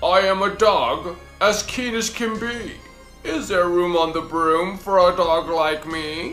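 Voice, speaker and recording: A man's put-on character voice, high-pitched and at a fairly slow pace, over clear music in the background. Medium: read story. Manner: menacing.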